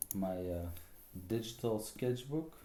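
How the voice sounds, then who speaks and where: A fairly low-pitched man with a Flemish accent, at a fairly slow pace, with noticeable background noise and audible room echo. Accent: Flemish Dutch accent in English. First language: Dutch. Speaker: artist streamer. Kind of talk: casual live stream chat. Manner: halting, many fillers.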